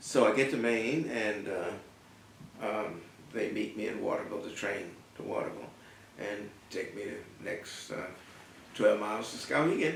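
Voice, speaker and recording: Over noticeable background noise, a man with an American accent talks with long, frequent pauses. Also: moderate pace. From North Carolina, US South. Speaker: artist and art professor. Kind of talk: oral history interview answer.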